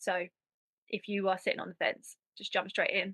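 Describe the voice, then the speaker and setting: Here a woman speaks at a medium pitch. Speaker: mums transformation coach. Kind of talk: testimonial. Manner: halting.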